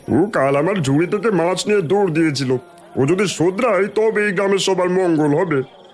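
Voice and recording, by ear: A cartoonish character voice moves at a fairly quick pace. Music plays clearly in the background. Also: man, high pitch for a man.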